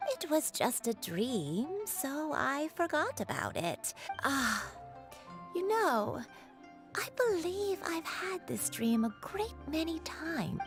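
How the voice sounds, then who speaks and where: A woman in a put-on character voice, high in pitch and fairly slow in pace, with clear music in the background. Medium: game stream. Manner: gentle, meandering.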